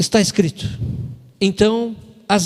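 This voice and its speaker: A man's voice with ordinary pitch variation. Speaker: preacher. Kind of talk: sermon. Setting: church. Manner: animated.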